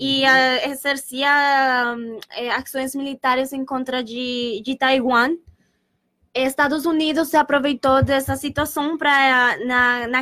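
A woman with a Spanish accent speaks in a raised, projected voice at a high pitch and a fairly slow pace. Her tone is bright and sharp, and the sound is dry and close with no echo. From Colombia, Bogotá. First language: Spanish (speaking Portuguese). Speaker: exchange student. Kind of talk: student presentation on radio. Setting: radio studio. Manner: halting.

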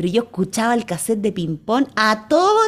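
Here is a woman with an ordinary speaking voice. She speaks at a fairly high pitch and a moderate pace. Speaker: children's radio co-host and singer. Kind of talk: casual radio chat. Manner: warm and playful.

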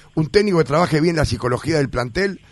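A man at a fairly quick pace with lively intonation. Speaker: sports radio host. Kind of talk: radio interview.

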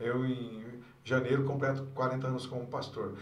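A fairly slow pace with audible room echo and noticeable background noise. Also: man. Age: 60s. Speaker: pastor, church district superintendent. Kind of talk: casual interview.

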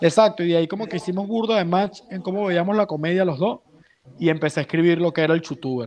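In a Venezuelan accent, a man talks at a very fast pace and a high pitch with ordinary pitch variation. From Venezuela (San Juan, grew up around Valencia). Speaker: comedian. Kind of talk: casual chat. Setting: video call. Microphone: unstable connection, video freezes.

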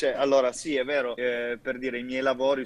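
Noticeable background noise accompanies a man at medium pitch. He speaks with monotone, flat intonation. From Italy, Turin. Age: 20s. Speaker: tattoo artist. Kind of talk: casual chat.

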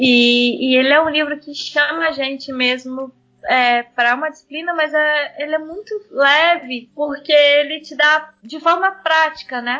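A woman with a high-pitched voice speaks at a fairly slow pace, her loudness swinging widely. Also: ordinary pitch variation, hardly any pauses. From Brazil, Espírito Santo (Vila Velha). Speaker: missionary. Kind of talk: interview testimony.

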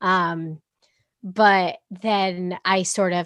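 A woman with an American accent speaks at a medium pitch. The sound is dry and close with no echo, on a very clean recording with a silent background. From US Northeast (Boston). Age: 20s. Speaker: singer-songwriter. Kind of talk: interview.

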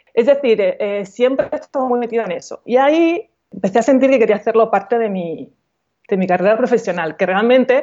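This woman has a plain, everyday voice, pitched fairly high and showing ordinary pitch variation. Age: 40s. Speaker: coach and author. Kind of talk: casual interview.

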